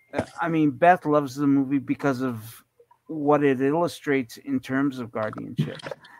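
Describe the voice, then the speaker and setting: A man with an unremarkable speaking voice talks at a moderate pace, pitched fairly high, with fairly even intonation. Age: 50s. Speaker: guest, blind guide dog user. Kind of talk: casual chat.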